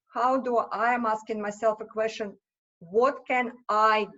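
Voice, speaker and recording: With a Russian accent, a woman speaks at a fairly high pitch. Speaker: small business owner. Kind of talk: podcast interview.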